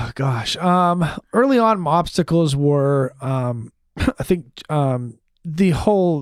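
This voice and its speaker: With an American accent, the voice moves at a very slow pace and lively intonation. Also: man, fairly high pitch for a man. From Maine, US. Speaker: TV news reporter and anchor. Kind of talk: interview. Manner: clear enunciation; animated.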